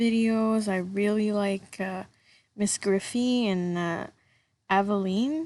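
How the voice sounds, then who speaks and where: The voice comes with a slight French accent against a quiet background. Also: woman. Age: 20s. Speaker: gaming YouTuber. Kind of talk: voice-over commentary. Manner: casual, hesitant.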